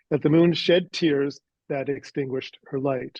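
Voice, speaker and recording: A man with a Canadian accent speaks at a moderate pace in a fairly high pitch, with ordinary pitch variation. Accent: Canadian, noticeable on words like 'out'. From Canada. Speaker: author. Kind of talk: interview. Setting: podcast interview. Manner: hesitant, many fillers.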